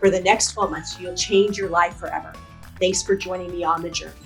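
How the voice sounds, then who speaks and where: Over music in the background, a woman talks fairly quickly at a medium pitch. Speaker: podcast host. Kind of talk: podcast interview.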